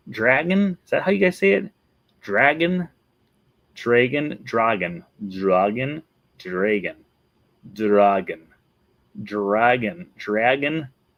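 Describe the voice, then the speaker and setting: A man's medium-pitched voice at a very slow pace, with long, frequent pauses, very wide pitch swings and very even loudness. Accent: Wisconsin. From Wisconsin. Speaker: Disney vlogger. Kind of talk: casual video commentary.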